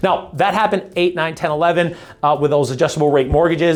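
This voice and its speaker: Someone talks at a very fast pace in an animated tone over noticeable background noise. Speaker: real estate agent. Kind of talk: market update monologue; sales pitch.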